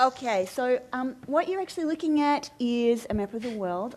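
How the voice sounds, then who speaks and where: Here is a woman with an Australian accent. Her intonation is lively. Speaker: media director. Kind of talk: conference talk.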